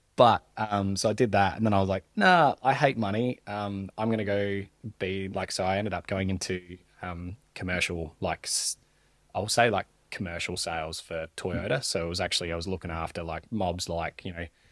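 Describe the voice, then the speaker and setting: With an Australian accent, a man speaks at a moderate pace in a fairly low voice with fairly even intonation, the recording very clean with a silent background and a dry, close sound with no echo. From South Australia, Mount Gambier. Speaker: plumbing apprentice. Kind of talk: podcast interview. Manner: casual, filler-heavy.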